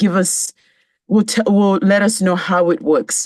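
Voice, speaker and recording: With a Kenyan accent, a woman of medium pitch talks at a moderate pace, the sound dry and close with no echo. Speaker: club general evaluator. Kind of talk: meeting role speech.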